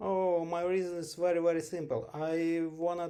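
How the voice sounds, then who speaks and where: A man's dark, mellow tone comes through on a very clean recording with a silent background. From western Ukraine. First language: Ukrainian. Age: 40s. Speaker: English learner. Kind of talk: interview. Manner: halting.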